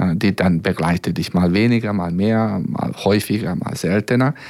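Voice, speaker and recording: With a Hungarian accent, a man speaks at a moderate pace in a very deep, low pitch, using ordinary pitch variation. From Serbia (Hungarian minority, former Yugoslavia). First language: Hungarian (speaking German). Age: 50s. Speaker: violinist. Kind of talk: radio interview. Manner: hesitant, many fillers.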